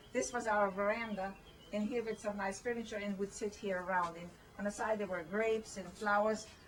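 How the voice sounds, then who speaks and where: Noticeable background noise behind a woman at medium pitch, fairly quick in pace, with fairly even intonation. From Hungary (German-speaking village). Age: 70s. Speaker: elderly woman revisiting childhood home. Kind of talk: casual chat, guided home tour. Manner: halting.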